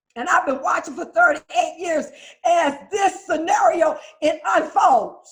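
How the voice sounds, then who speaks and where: Music plays behind a woman with an extremely high pitch. Her tone is animated, her pitch variation ordinary, and her pace fairly slow. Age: 60s. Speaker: recovering addict sharing at a recovery meeting. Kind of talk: testimony. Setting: video call.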